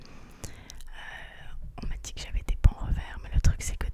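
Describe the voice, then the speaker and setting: A woman whispering. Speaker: university student. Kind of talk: casual ASMR chat. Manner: whispered.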